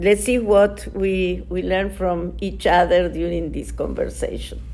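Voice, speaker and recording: In an Argentine accent, a woman speaks at a fairly slow pace while noticeable background noise runs underneath. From Argentina. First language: Spanish. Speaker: nonprofit director. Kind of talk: interview. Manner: halting, many fillers.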